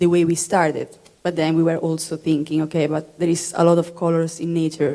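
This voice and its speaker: With an Italian accent, the speaker holds a monotone, flat intonation at a moderate pace in a dark, mellow tone. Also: woman. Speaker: material designer. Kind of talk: panel presentation. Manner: halting.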